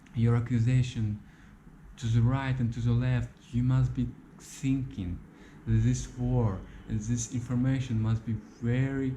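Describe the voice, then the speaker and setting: The voice is somewhat breathy, with a dark, mellow tone and a non-native accent. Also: man. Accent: non-native English, says his English is bad. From Ukraine. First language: Russian. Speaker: YouTuber. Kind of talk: video monologue. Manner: halting, repeats words; passionate.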